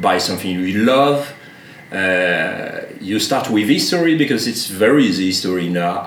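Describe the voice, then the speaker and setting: A man with a French accent talks at a fairly low pitch, with audible room echo and noticeable background noise. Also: lively intonation, moderate pace. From France. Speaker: shop owner. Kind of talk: casual chat. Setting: barbershop. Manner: halting.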